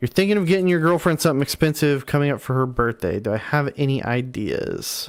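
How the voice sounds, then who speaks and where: A man talks at a very fast pace with hardly any pauses. His intonation is lively. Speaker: gaming streamer. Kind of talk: casual live-stream chat reading viewer comments. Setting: live stream. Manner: stuttering, repeating words.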